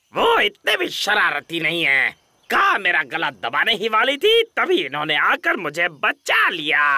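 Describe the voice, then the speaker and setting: A cartoonish character voice at middle pitch and moderate pace, with hardly any pauses. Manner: gruff.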